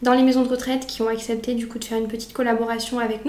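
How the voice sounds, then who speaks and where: Here a woman speaks with a high pitch and fairly even intonation. Audible room echo and noticeable background noise surround her. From France, Auvergne (near Brioude). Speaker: student association president. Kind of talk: casual interview. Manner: hesitant, many fillers.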